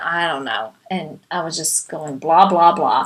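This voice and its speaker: With a non-native accent, a woman speaks in a bright, sharp tone with ordinary pitch variation. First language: not English. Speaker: life coach. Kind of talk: talk / webinar presentation.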